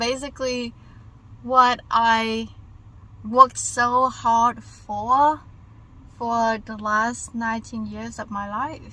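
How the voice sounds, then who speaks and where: A woman speaks very slowly with a Vietnamese accent, her fairly high voice bright and sharp in tone. Her delivery is flat and monotone, broken by long, frequent pauses and big swings in loudness. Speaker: vlogger. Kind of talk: casual vlog monologue. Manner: halting.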